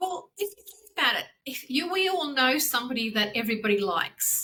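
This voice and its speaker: With an Australian accent, a woman projects a raised, high-pitched voice with a bright, sharp tone, very wide pitch swings, and a fairly quick pace. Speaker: branding consultant. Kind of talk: casual interview. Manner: fast.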